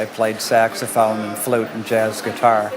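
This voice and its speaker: A man's voice with an American accent, plus audible room echo and noticeable background noise. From US, Detroit. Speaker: musician. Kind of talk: interview.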